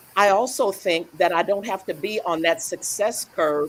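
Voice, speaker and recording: A woman speaks at a fairly slow pace with an American accent. Noticeable background noise runs underneath. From US South, rural Louisiana. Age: 70s. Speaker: business owner, panelist. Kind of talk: panel discussion.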